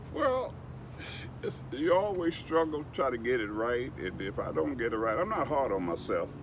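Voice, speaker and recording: The speaker is a man with a Southern US accent. He goes at a moderate pace amid audible room echo. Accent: US South. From Alabama, Mobile. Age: 70s. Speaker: photographer. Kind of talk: interview.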